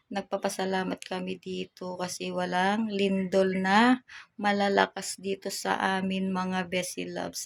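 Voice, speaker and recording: A woman talks at a very slow pace with monotone, flat intonation in a very clean recording with a silent background. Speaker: vlogger. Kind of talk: casual vlog.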